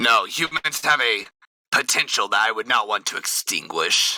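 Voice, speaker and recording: Raspy, fairly high-pitched put-on character voice from a man. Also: moderate pace. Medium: actual play. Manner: courtly, formal, self-assured.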